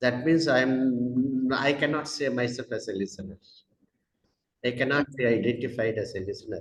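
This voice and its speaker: A man with a Tamil Indian accent, medium pitch, somewhat breathy, at a moderate pace with fairly even intonation. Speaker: educator with doctorate in English. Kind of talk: interview. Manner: halting, many fillers.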